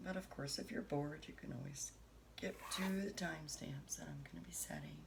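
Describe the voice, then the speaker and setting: Soft-spoken, a woman talks at a moderate pace with audible room echo. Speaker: tarot reader. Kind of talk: tarot reading.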